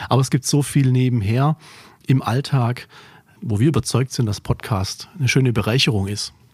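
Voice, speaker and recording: This man's voice sits at a medium pitch and is somewhat breathy. He keeps a moderate pace with ordinary pitch variation. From Remstal near Stuttgart, Swabia. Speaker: trade magazine editor-in-chief. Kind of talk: casual chat. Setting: warehouse.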